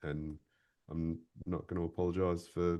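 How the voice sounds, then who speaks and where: A man speaks with an Australian accent. His pitch is very deep and low, and his tone is dark and mellow. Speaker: voiceover artist and boat videographer. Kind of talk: interview chat. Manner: animated.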